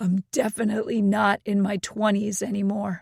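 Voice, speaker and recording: In a put-on character voice, a female-sounding speaker talks at a moderate pace, raspy and medium-pitched. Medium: read story.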